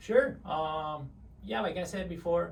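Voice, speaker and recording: There is noticeable background noise behind a man whose intonation stays fairly even. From Mexico. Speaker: service delivery manager. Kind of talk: interview answer.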